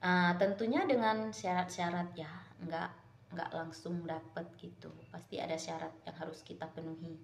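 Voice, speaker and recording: A woman with a fairly low pitch and ordinary pitch variation speaks at a moderate pace, with audible room echo around her. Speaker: vlogger. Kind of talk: casual chat. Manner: casual, halting.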